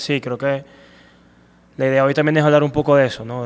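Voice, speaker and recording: Over noticeable background noise, the speaker talks in a flat, monotone way. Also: man. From Venezuela, Punto Fijo. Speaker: amateur runner and running coach. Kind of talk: interview. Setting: running shop.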